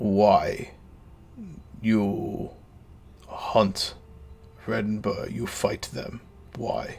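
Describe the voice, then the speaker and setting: Using a put-on character voice at medium pitch, a man speaks very slowly with long, frequent pauses over light background noise. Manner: halting, broken common.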